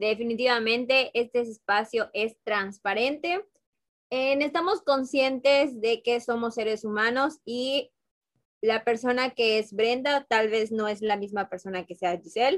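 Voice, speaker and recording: Here a woman talks at a fairly high pitch and a fairly slow pace. It is an unremarkable speaking voice with ordinary pitch variation. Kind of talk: casual chat.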